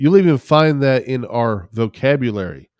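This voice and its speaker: A man speaks in a Southern US accent at a medium pitch. His pitch varies in an ordinary way against a quiet background. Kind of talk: casual conversational drawl.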